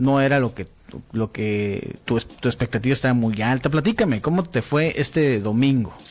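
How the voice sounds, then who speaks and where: A man with an unremarkable speaking voice talks at a medium pitch and a moderate pace. His pitch varies in an ordinary way. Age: 40s. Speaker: sports radio host. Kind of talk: casual chat. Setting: studio.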